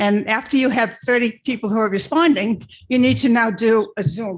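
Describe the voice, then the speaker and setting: A woman's fairly high, somewhat breathy voice at a moderate pace, with ordinary pitch variation and very even loudness. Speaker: resident speaking at public comment. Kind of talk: public comment at a town board meeting. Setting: town board meeting room.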